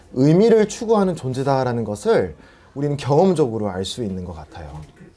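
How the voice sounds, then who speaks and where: The voice has a dark, mellow tone and very wide pitch swings, delivered at a moderate pace. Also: man. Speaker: preacher. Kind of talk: sermon. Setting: church with PA system.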